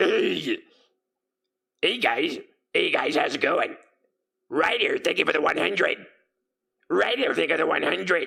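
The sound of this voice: A man's put-on character voice at a moderate pace, broken by long, frequent pauses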